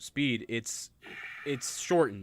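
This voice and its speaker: The recording is very clean, and the background is silent. A man talks at a fairly slow pace. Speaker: podcast co-host. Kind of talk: casual chat. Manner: moderate pace.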